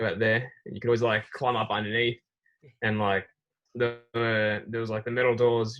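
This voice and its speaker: A man with a medium pitch speaks in an Australian accent. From Australia, Melbourne. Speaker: racing driver, driving team member. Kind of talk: casual interview.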